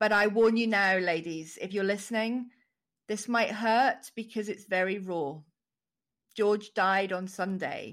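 A woman's plain, everyday voice, medium-pitched and fairly even in intonation, at a fairly slow pace. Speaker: podcast host. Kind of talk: interview intro and chat.

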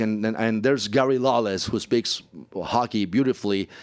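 Man with a Spanish accent at medium pitch, ordinary pitch variation and moderate pace, on a very clean recording with a silent background. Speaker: play-by-play announcer. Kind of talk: interview. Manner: halting.

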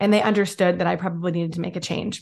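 Her tone is animated and her pitch medium. The woman shows ordinary pitch variation. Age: 30s. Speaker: podcast host. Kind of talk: motivational monologue.

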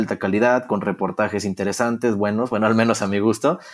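An ordinary speaking voice goes at a fairly quick pace in a very clean recording with a silent background. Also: man. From Mexico, Torreón, Coahuila. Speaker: social media content creator for a football club. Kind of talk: interview.

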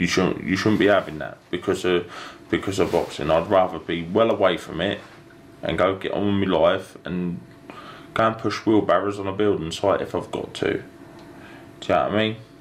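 Speaking at a fairly quick pace with fairly low pitch and ordinary pitch variation, a man leaves long, frequent pauses over noticeable background noise. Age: 30s. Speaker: professional boxer. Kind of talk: interview.

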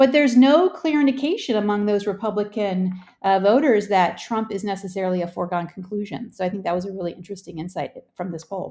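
A woman with an American accent talks at a very fast pace in a dark, mellow tone, with medium pitch and ordinary pitch variation. Her loudness swings widely. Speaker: political researcher. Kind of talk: news interview.

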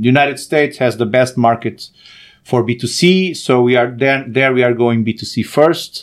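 Speaking with a Portuguese accent, a man uses a medium pitch. His pace is moderate, with ordinary pitch variation. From Portugal, born in Angola. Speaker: startup founder and CEO. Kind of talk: interview. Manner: halting, many fillers and repetitions.

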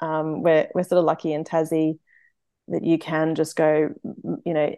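In an Australian accent, a woman with a very deep, low pitch and a dark, mellow tone talks at a moderate pace with fairly even intonation, her sound dry and close with no echo against a quiet background. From Brisbane, Queensland, Australia. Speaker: amateur trail runner. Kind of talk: interview. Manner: halting, many fillers.

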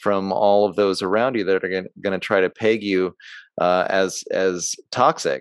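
A man speaks in an ordinary speaking voice, fairly low in pitch, at a fairly slow pace with fairly even intonation. The sound is dry and close with no echo, over a quiet background. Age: 40s. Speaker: podcast host. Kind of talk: interview conversation; scripted introduction.

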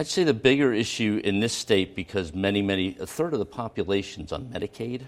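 In a plain, everyday voice, a man with an American accent speaks fairly quickly at a fairly low pitch, with lively intonation and hardly any pauses. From Philadelphia, US. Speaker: hospital system executive. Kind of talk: TV interview. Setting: studio.

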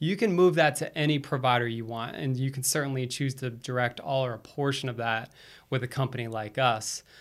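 This is a man with a normal speaking voice. He talks at medium pitch with ordinary pitch variation. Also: fairly quick pace. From Florida, US East Coast. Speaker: financial services executive. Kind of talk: podcast interview.

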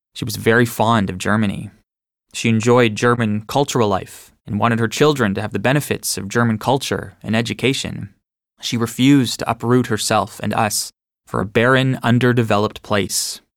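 In an ordinary speaking voice, someone talks at a moderate pace with fairly even intonation, recorded very cleanly against a silent background. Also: man. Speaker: audiobook narrator. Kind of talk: reading aloud.

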